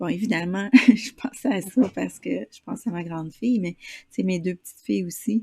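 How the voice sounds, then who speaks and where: A woman speaks at a fairly slow pace in a strong Quebec accent, with a somewhat breathy, dark, mellow tone. The sound is dry and close with no echo, and her pitch varies in an ordinary way. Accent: Québécois, strong. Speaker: interviewer. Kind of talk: interview.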